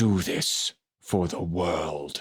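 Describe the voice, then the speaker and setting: A man puts on a character voice. It is raspy and very deep, low in pitch. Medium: read story.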